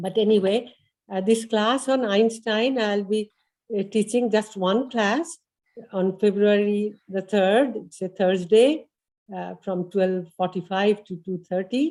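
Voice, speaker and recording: Very slow in pace, the speech has an Indian accent, a dark, mellow tone and ordinary pitch variation. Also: woman, medium pitch for a woman. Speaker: adult education instructor. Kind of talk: class presentation at open house. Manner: hesitant, many fillers.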